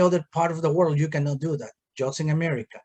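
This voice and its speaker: A man with a Peruvian accent speaks at a fairly high pitch in a dark, mellow tone. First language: Spanish. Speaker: township supervisor, politician. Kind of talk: political discussion.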